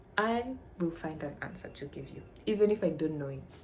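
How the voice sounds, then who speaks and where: Speaking with a Tanzanian accent, a woman uses a very deep, low pitch with ordinary variation. Room echo is audible, and background noise is noticeable. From Tanzania, Arusha. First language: Swahili. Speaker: vlogger, university student. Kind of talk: casual chat.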